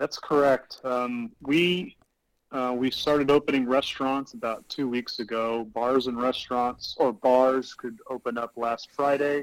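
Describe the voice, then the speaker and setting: Using a plain, everyday voice, a man of medium pitch with an American accent talks at a fairly slow pace with fairly even intonation. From Houston, Texas, US. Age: 30s. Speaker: brewer. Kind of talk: casual chat.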